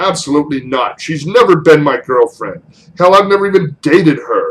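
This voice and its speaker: A man's put-on character voice, high in pitch, at a fairly quick pace. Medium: read story.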